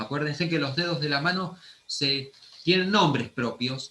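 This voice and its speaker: Someone with an Argentine accent talks at a moderate pace with lively intonation. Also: man. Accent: Argentine Spanish (Rioplatense). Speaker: anatomy teacher. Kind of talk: lecture.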